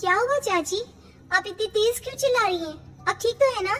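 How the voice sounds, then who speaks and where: Putting on a squeaky character voice at an extremely high pitch, a woman talks at a fairly quick pace over clear background noise. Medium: audio drama. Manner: soft, polite.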